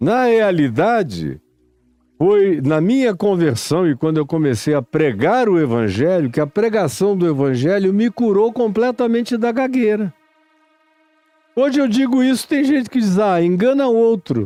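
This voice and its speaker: Speaking at a fairly slow pace, a man with a high pitch makes very wide pitch swings while keeping his loudness very even. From Amazonas, Brazil. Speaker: preacher. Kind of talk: sermon.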